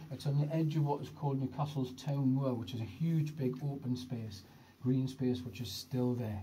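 Speech at a moderate pace plays over light background noise. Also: man. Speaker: tour guide. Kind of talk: guided tour narration. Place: tunnel cave. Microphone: phone near.

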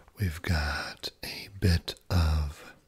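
A soft-spoken, somewhat breathy man with a very deep, low pitch and fairly even intonation. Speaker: ASMR creator. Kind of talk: ASMR video. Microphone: studio mic.

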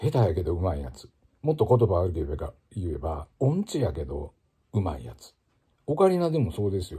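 In a Kansai accent, a man speaks at a moderate pace in a very deep, low voice with a dark, mellow tone, vocal fry and a relaxed tone, his pitch swinging very widely over a quiet background. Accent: Kansai Japanese. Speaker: ocarina player and former music teacher; former music teacher. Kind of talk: casual spoken blog monologue. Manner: relaxed, conversational with many fillers. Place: home room. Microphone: phone near.

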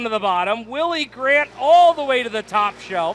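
With music playing behind him, a man speaks at a moderate pace in an extremely high pitch. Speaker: race announcer. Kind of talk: live race commentary. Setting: racetrack, announcer booth. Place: stadium.

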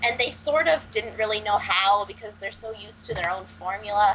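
A woman at medium pitch, with a fairly bright tone, ordinary pitch variation, a moderate pace and faint background noise

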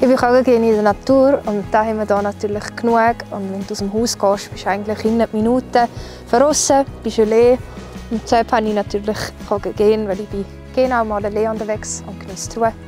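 A woman with an Appenzell accent talks at a fairly quick pace with fairly even intonation, the sound dry with no echo and clear music in the background. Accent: Swiss German, Appenzell dialect. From Appenzell, Switzerland. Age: 20s. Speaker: singer. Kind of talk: casual talk to camera. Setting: outdoors. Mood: relaxed, cheerful. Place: open country. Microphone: lapel.

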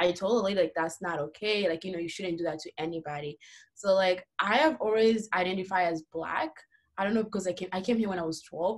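Very fast speech from a woman with a Central African accent, medium pitch and ordinary pitch variation, over a quiet background. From DR Congo. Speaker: college student and refugee advocate; panelist. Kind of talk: panel discussion. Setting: video call. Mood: earnest, reflective. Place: home room. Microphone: video call.

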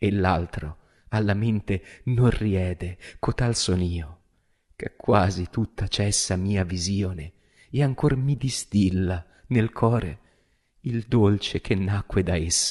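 With long, frequent pauses, a man with a fairly low, somewhat breathy voice speaks very slowly, using ordinary pitch variation over a quiet background. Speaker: stage actor and director. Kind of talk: poetry reading. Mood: solemn, emotive. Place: studio. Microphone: studio mic.

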